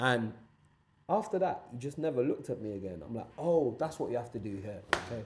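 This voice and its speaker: A man speaks in an animated tone at a fairly quick pace, somewhat breathy. His medium pitch shows very wide swings. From Nigeria (Lagos). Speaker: podcast guest. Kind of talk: casual chat.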